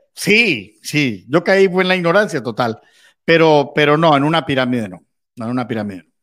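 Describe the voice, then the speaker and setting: On a very clean recording with a silent background, a man with a fairly high voice talks at a moderate pace, his pitch swinging very widely and his loudness shifting a lot. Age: 50s. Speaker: journalist and crypto market analyst. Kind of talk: interview.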